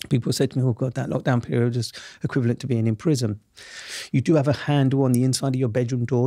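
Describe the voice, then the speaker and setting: With a South East London accent, a man talks at a very fast pace in a dark, mellow tone and medium pitch, recorded very cleanly against a silent background. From southeast London, Camberwell. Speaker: journalist and TV presenter, former wrongfully convicted prisoner. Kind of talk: podcast interview. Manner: animated.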